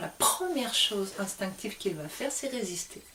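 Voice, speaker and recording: A woman speaks at a moderate pace with very wide pitch swings, over noticeable background noise. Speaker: spiritual teacher. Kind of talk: spiritual talk to camera. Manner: hesitant fillers.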